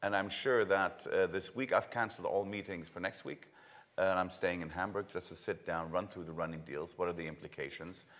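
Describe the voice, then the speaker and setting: The speaker has a German accent and talks at a fairly quick pace with fairly even intonation. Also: man, very deep, low pitch for a man. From Germany. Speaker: logistics real estate executive. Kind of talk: conference panel discussion. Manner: halting, many fillers.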